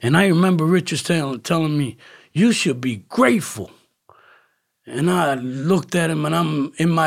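A man's fairly high voice in an American accent, at a moderate pace with ordinary pitch variation, on a very clean recording with a silent background. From Camden, New Jersey. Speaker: recovering addict. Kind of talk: testimony.

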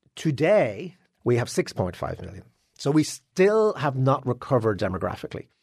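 Speaking with a Dublin accent, a man keeps a moderate pace at a medium pitch while his voice makes very wide pitch swings. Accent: Dublin Irish. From Ireland, Dublin. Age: 60s. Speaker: newspaper columnist and author. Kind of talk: interview.

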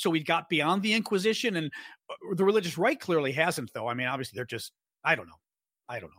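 Very fast speech in an American accent, bright and sharp in tone, with lively intonation and big swings in loudness, in a very clean recording with a silent background. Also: man, high pitch for a man. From Chicago, US Midwest. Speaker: political podcast host. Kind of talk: casual interview.

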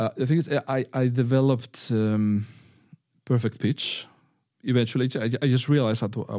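The recording is very clean, with a silent background. A man with a medium pitch and a dark, mellow tone speaks at a fairly quick pace with fairly even intonation. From northern Spain. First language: Spanish. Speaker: violinist and music teacher. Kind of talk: interview. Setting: studio. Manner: firm.

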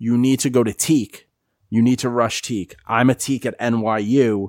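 A man with an American accent uses an ordinary speaking voice at medium pitch with ordinary pitch variation. The recording is very clean with a silent background, and the sound is dry and close with no echo. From New York. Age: 30s. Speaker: sports podcast host. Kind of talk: casual chat.

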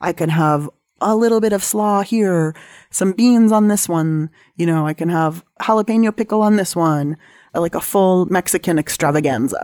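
A woman with a Californian accent talks at a moderate pace in a fairly low pitch. The recording is very clean, with a silent background. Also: ordinary pitch variation. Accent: General American, Californian. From US West Coast, San Diego. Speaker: cook and cookbook author. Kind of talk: casual interview conversation.

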